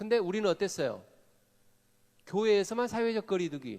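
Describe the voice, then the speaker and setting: Speaking in a Jeolla accent, a man with a high pitch and ordinary pitch variation talks in an animated tone at a fairly quick pace. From Korea, Jeolla (Gwangju). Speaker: pastor / seminar speaker. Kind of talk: sermon-style seminar talk. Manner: animated, engaging audience with questions.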